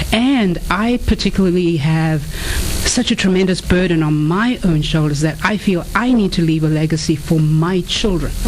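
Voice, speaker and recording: In an African accent, a woman speaks at a fairly low pitch, with audible room echo and noticeable background noise. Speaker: author and inspirational speaker. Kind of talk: radio interview.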